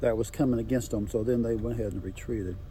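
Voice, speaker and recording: This man has an American accent and a dark, mellow tone. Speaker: local landowner. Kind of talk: storytelling. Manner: fast; halting.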